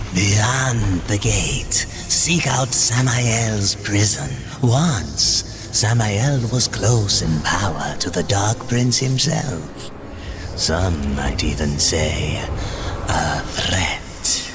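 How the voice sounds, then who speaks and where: A man's put-on character voice, fairly low in pitch and very slow, over loud background noise. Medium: short film. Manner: sly, insinuating.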